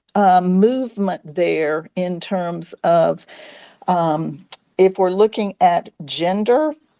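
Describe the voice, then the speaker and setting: Dry and close with no echo, the voice has a dark, mellow tone, a very slow pace and ordinary pitch variation. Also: woman, medium pitch for a woman. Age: 60s. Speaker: sex educator and talk host. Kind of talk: casual chat. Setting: live audio space on social media.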